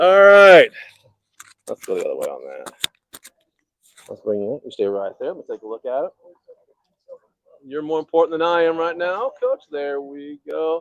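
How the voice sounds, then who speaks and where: With big swings in loudness and long, frequent pauses, a man speaks at a moderate pace in a dry, close sound without echo. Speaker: local sports show host. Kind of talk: live sports update show. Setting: outdoors at a baseball complex, live stream. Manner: energetic.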